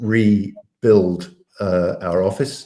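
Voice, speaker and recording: A man's fairly low voice with a dark, mellow tone. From England, Cambridge. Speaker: business owner, audio-visual company director. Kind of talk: interview. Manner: hesitant, many fillers and repeats.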